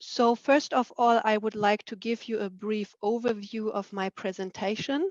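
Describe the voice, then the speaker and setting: A woman's fairly high voice in a German accent, with fairly even intonation and a dry, close sound with no echo. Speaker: researcher. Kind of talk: presentation.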